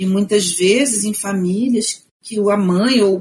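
A woman talks in a somewhat breathy voice with fairly even intonation. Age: 50s. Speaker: historian and researcher. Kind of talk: interview, explaining history.

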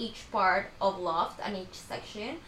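A woman with a Spanish accent, noticeable noise in the background. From Ecuador. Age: 20s. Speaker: podcast host, student. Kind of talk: casual chat.

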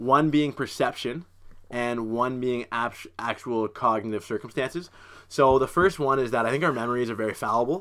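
A man talks at a moderate pace in a normal speaking voice with medium pitch. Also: very clean recording, silent background. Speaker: podcast host. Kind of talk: casual chat.

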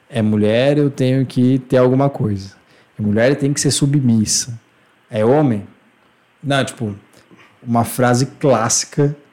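At a fairly slow pace with long, frequent pauses, a man speaks in a dark, mellow tone at a medium pitch with fairly even intonation. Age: 20s. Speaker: podcast host. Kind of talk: casual chat.

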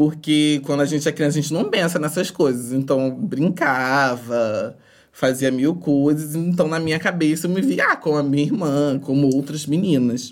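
With hardly any pauses, a woman talks in a very deep, low pitch. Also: ordinary pitch variation, moderate pace, very clean recording, silent background. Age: 20s. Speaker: podcast guest. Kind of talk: casual interview.

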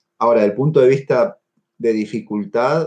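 A man with an Argentine accent speaks at medium pitch in a dark, mellow tone. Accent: Argentine Spanish (Rioplatense). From Argentina. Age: 30s. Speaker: neurosurgeon. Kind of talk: interview. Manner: halting, with frequent fillers and repetitions.

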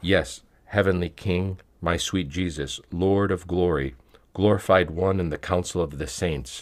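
A man with a very deep, low voice and vocal fry speaks at a fairly slow pace. His intonation stays fairly even on a very clean recording with a silent background. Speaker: reader of spiritual texts. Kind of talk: reading aloud of a prayer text, fervent supplication. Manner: earnest, devout pleading tone in the prayer passage.

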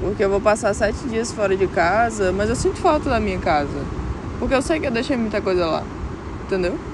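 Speaking at a fairly quick pace with lively intonation and long, frequent pauses, a woman is heard with audible room echo and noticeable background noise. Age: 20s. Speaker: podcaster. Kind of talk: reflective monologue. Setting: outdoors at a beach. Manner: emotional.

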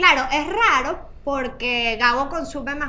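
Amid noticeable background noise and audible room echo, a woman projects a raised, high-pitched voice. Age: 40s. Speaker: podcast host and journalist. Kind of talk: casual chat.

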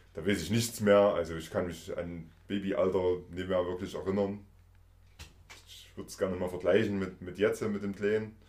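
A man's fairly low, monotone voice with flat intonation at a moderate pace, big swings in loudness, and audible room echo. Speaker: podcast host. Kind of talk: casual interview. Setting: visiting guest in person.

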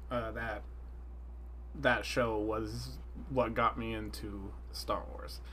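The speech comes at a very slow pace. Room echo is audible. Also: man. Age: 20s. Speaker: resident fan expert. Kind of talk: casual chat. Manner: halting, many fillers.

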